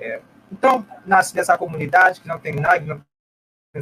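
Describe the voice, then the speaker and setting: A man speaks with a Haitian accent in a bright, sharp tone. His pace is moderate and his pitch varies in an ordinary way. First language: Haitian Creole or French (speaking Portuguese). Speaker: humanitarian volunteer. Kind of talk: testimony.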